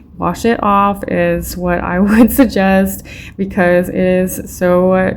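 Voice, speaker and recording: A woman speaks over noticeable background noise. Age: 30s. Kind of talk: casual talk to camera. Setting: home recording, poor mic.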